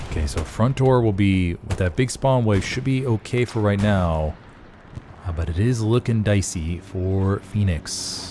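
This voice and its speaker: A plain, everyday voice, a man with a fairly low pitch speaks at a fairly slow pace with ordinary pitch variation. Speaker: game commentator; voice actor. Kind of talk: live esports play-by-play commentary. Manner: casual, conversational.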